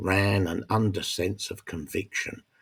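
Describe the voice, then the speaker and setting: In a very clean recording with a silent background, a man speaks fairly slowly in a very deep, low, somewhat breathy voice with ordinary pitch variation. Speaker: narrator. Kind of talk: audiobook story narration.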